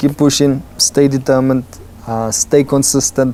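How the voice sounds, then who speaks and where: A man talks at a fairly slow pace in a medium pitch. Noticeable background noise runs behind him. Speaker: actor. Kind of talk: interview.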